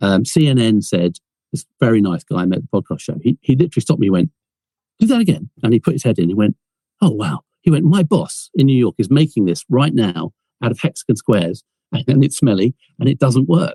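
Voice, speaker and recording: With an English accent, a man speaks at a fairly quick pace in a somewhat breathy voice of dark, mellow tone, his pitch swinging very widely, in a dry, close sound with no echo. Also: medium pitch for a man. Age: 60s. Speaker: film producer and inventor. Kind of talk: podcast interview.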